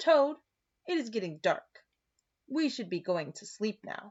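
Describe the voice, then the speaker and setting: A woman puts on a character voice at a fairly high pitch with very wide pitch swings. She speaks at a fairly slow pace. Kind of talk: children's read-aloud. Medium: read story. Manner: gentle, patient.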